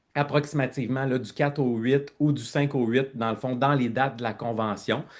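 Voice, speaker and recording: A man's voice with ordinary pitch variation at a moderate pace. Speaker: network marketing team leader. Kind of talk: online presentation. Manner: loud; animated.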